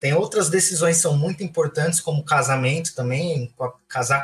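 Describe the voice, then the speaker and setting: Speaking at a moderate pace, a man has an ordinary speaking voice with a fairly high pitch and ordinary pitch variation. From Francisco Morato, São Paulo state, Brazil. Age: 20s. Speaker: architect. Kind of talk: casual chat.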